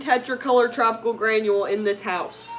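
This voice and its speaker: A woman's animated, fairly high voice at a moderate pace, with ordinary pitch variation and music in the background. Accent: American. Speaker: aquarium livestreamer. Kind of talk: casual livestream chat.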